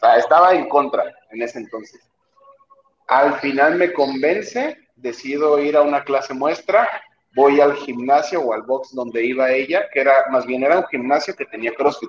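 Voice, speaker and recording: His is an ordinary speaking voice, a man's at a fairly high pitch, moving at a moderate pace with ordinary pitch variation. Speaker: CrossFit athlete. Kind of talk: casual chat.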